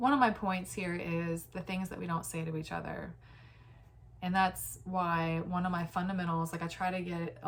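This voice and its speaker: Somewhat breathy and fairly low in pitch, a woman speaks at a moderate pace in a monotone, flat intonation. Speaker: vlogger. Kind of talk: casual monologue. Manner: halting.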